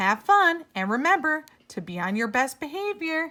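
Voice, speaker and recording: A woman puts on a character voice, pitched high and swinging very widely in pitch. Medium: read story. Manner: kind, fatherly.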